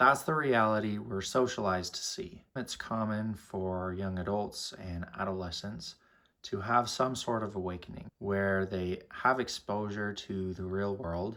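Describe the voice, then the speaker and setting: A man with a bright, sharp tone and a fairly low pitch speaks at a fairly slow pace with hardly any pauses, in a very clean recording with a silent background. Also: ordinary pitch variation. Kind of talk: motivational podcast storytelling.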